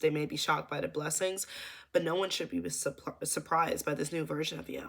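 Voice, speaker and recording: A raspy, put-on character voice at a middle pitch and a fairly quick pace. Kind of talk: motivational, energetic. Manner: stuttering.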